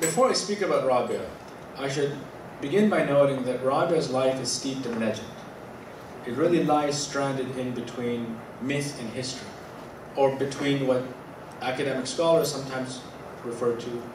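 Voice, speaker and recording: A man talks at a moderate pace with ordinary pitch variation and long, frequent pauses, over noticeable background noise and audible room echo. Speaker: academic lecturer. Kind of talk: lecture. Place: hall. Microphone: podium.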